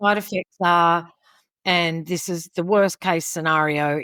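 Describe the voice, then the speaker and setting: With an Australian accent, a woman speaks at a fairly slow pace and a fairly low pitch. The sound is dry and close with no echo, on a very clean recording with a silent background. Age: 70s. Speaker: podcast guest. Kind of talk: interview. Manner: animated.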